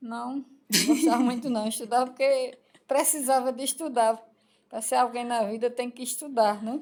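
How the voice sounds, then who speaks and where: High-pitched, a woman speaks with fairly even intonation. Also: moderate pace. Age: 70s. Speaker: elderly podcast guest, mother of the host. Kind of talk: interview answer.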